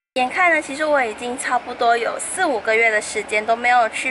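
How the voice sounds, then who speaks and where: Over noticeable background noise, a woman talks at a fairly quick pace in a high-pitched voice. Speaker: vlogger. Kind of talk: casual vlog chat. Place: street. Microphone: phone near.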